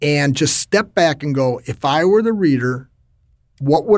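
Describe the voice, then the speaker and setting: A man with an unremarkable speaking voice talks at a fairly high pitch and moderate pace with lively intonation. The recording is very clean, with a silent background. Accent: American. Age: 50s. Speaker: LinkedIn trainer and author. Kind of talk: interview.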